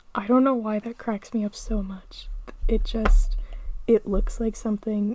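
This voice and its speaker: A soft-spoken woman talks at a fairly slow pace. Her pitch is fairly high and her intonation flat and monotone. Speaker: podcast host. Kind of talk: ASMR podcast.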